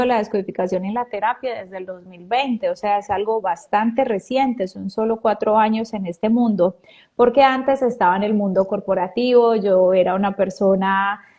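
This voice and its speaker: A woman with a Pereira accent, a fairly high pitch and a dark, mellow tone, at a moderate pace with hardly any pauses, fairly even intonation and big swings in loudness against a quiet background. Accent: Pereira Colombian accent, kept. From Colombia, Pereira. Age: 30s. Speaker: biodecoding therapist, weight coach. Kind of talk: casual interview.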